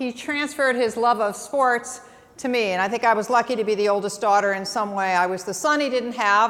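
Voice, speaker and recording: At a moderate pace, a woman with an American accent speaks with ordinary pitch variation amid audible room echo. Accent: Midwestern, little Boston. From Massachusetts, Boston area. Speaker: marketing executive. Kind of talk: conference talk. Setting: stage with audience.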